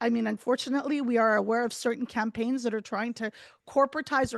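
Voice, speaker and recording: A woman speaks loudly at a high pitch, with a dry, close sound, no echo and a quiet background. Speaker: journalist and advocate. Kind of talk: webinar talk. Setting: video call.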